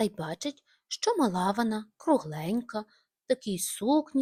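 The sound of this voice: Quiet surroundings, an unforced reading voice, and lively intonation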